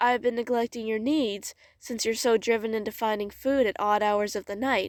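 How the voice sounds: Fairly even intonation in a natural reading voice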